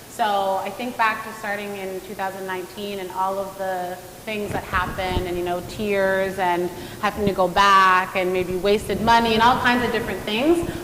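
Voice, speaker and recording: A woman speaks at a moderate pace in a medium pitch, her intonation monotone and flat, her loudness swinging widely, with audible room echo and noticeable background noise. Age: 30s. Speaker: nutrition and fitness coach. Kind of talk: panel discussion. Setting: virtual event.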